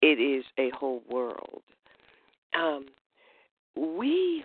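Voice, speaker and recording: A woman speaks with a Southern US accent. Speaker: poet. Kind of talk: poetry performance.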